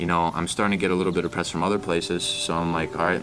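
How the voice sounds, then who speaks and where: A man with a very deep, low pitch speaks with an American accent over noticeable background noise. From US South. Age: 20s. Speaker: young entrepreneur. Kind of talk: interview. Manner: animated.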